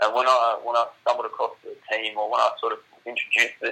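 In an Australian accent, a man speaks at a fairly quick pace. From Australia, Shoalhaven NSW. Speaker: para footballer. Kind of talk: interview.

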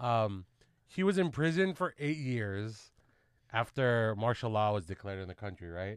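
With an American accent, a man of medium pitch talks at a moderate pace with very wide pitch swings, on a very clean recording with a silent background. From Southern California (Carson), Filipino American. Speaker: podcast host. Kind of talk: casual chat.

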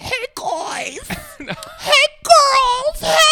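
The voice is pitched extremely high. It is a put-on character voice. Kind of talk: casual, chatty. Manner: flamboyant, campy, theatrical.

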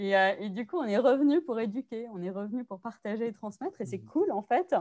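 Against a quiet background, a woman with a high pitch talks at a fairly quick pace with lively intonation. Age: 30s. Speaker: sex educator. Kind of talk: casual interview.

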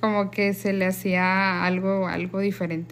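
A woman is speaking. Her pace is very slow. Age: 30s. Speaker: sister. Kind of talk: casual family conversation.

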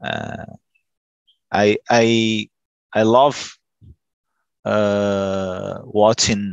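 A man speaks with a Brazilian accent. His pitch sits fairly low. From Brazil, São Paulo State coast. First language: Portuguese. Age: 40s. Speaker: telecom worker, language student. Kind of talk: group English conversation practice. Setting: video call.

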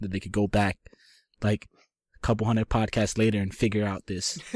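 An ordinary speaking voice from a man, fairly low in pitch and fairly quick in pace, with a dry, close sound and no echo. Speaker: graphic designer. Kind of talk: casual chat.

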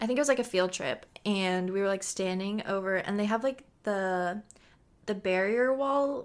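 A normal speaking voice, fairly slow in tempo, its pitch varying in an ordinary way, captured in a very clean recording against total silence. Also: woman. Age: 20s. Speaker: podcast co-host and student. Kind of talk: casual chat.

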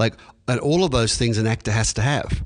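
Over a quiet background, a man with an Australian accent talks at a fairly quick pace. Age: 50s. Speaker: acting teacher. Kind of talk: interview.

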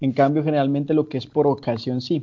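A man talks in an ordinary speaking voice. His pitch is fairly high and his intonation fairly even. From Colombia, Santander (San Gil, Barrancabermeja, Bucaramanga). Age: 20s. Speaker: musician. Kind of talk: interview.

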